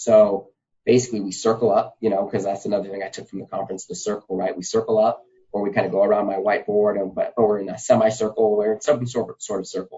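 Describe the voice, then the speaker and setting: Talking at a very fast pace with an American accent, a man keeps a fairly low pitch and monotone, flat intonation while his loudness swings widely. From Nevada, US. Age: 30s. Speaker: gymnastics coach. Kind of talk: podcast interview.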